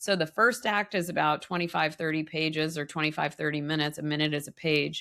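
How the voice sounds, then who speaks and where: On a very clean recording with a silent background, a woman with a very deep, low pitch and a bright, sharp tone races along at a very fast pace with hardly any pauses and ordinary pitch variation. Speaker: filmmaker and climate researcher. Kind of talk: casual interview. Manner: animated.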